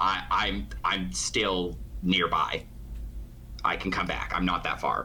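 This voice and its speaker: A man puts on a character voice and speaks at a fairly slow pace with long, frequent pauses. Clear background noise runs underneath. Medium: actual play.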